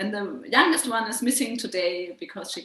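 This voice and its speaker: A woman speaks with a German accent. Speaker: a cappella singer. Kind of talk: interview.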